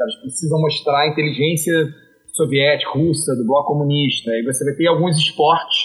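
At a moderate pace, a man talks in a fairly high, somewhat breathy voice with fairly even intonation. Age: 40s. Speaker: history teacher. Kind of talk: casual chat.

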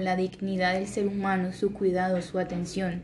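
Moderate-paced speech from a woman, audible room echo around it. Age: 20s. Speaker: surgeon. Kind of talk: testimony.

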